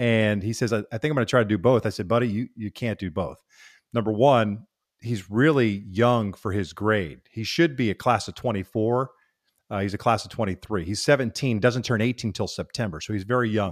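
On a very clean recording with a silent background, a man with an ordinary speaking voice talks at a fairly low pitch with ordinary pitch variation. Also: fairly quick pace. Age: 50s. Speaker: baseball broadcaster. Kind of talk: casual interview chat.

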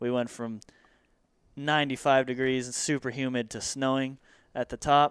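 On a very clean recording with a silent background, a man with an American accent speaks in a monotone, flat way at a moderate pace and medium pitch, the sound dry and close with no echo. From US West Coast. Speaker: mountain bike media and industry worker. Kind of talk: casual interview.

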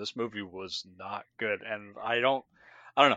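A man speaks at a fairly quick pace in a plain, everyday voice. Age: 20s. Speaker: podcast co-host. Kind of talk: casual chat.

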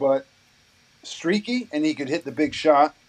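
A man with an American accent, fairly high pitch and ordinary pitch variation, over noticeable background noise. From US Midwest, northeastern Indiana. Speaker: former pro basketball player and artist. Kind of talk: casual interview.

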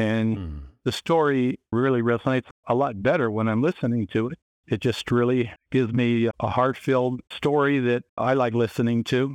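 A plain, everyday voice, a man at medium pitch talks at a moderate pace with ordinary pitch variation, the sound dry and close with no echo. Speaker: author. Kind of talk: interview.

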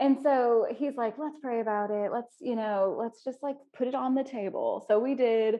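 With a high pitch and fairly even intonation, a woman talks at a moderate pace with hardly any pauses. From Arkansas (Pine Bluff). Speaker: co-working space founder, fashion designer. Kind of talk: interview conversation.

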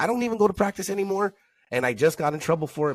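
A man speaks very fast in an animated tone. His pitch swings very widely. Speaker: podcast co-host and football coach. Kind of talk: casual chat.

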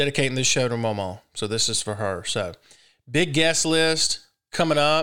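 A man with a Southern US accent, bright and sharp in tone, lively in intonation, at a moderate pace on a very clean recording with a silent background. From Mississippi. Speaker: radio host. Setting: studio.

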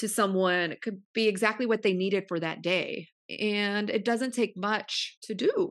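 Over a quiet background, a woman with an American accent uses a normal speaking voice at a medium pitch with ordinary pitch variation. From California, Central Valley (Modesto). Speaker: podcast host and supplement entrepreneur. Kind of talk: interview.

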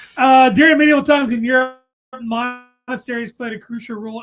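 Music plays in the background while the speaker talks at a fairly quick pace. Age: 40s. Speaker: podcast host. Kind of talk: casual chat. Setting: live stream in studio. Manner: casual, joking.

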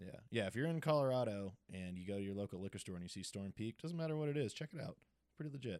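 With an American accent, a man speaks at a very fast pace with lively intonation, the sound dry and close with no echo. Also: medium pitch for a man. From Massachusetts (Cape Cod). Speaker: podcast host. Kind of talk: casual chat. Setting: home recording.

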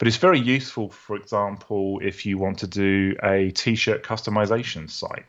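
A man with a British accent speaks with fairly even intonation. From UK. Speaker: software founder and developer. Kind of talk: interview.

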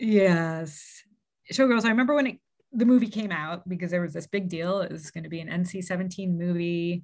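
A somewhat breathy woman at a fairly low pitch, fairly quick, with ordinary pitch variation and big swings in loudness on a very clean recording with a silent background. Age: 40s. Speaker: childhood friend of the host. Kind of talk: casual chat.

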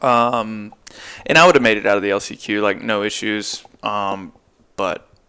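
A man's bright, sharp, medium-pitched voice at a fairly slow pace with ordinary pitch variation. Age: 20s. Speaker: supercross racer. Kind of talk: casual chat.

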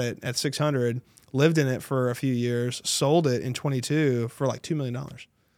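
Recorded very cleanly over a silent background, a man with an American accent and a normal speaking voice talks at a fairly quick pace, at medium pitch with fairly even intonation. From North Texas, Tarrant County (Dallas-Fort Worth). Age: 30s. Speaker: real estate agent. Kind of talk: casual interview chat.

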